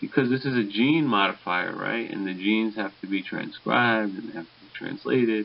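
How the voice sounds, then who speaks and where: A man mumbles his words. He talks at a fairly slow pace. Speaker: pharmacology lecturer. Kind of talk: recorded lecture. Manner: mumbling a little; hesitant, many fillers.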